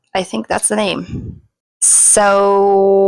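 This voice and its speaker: A woman talks with a non-native accent. Her pitch is medium. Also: dry, close sound with no echo. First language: not English. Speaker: crochet vlogger. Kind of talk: casual vlog narration. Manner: casual, with hesitations.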